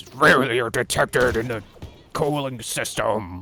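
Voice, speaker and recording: Over faint background music, a man performs a put-on character voice at a medium pitch. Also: fairly slow pace. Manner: gruff, deliberately not sterile.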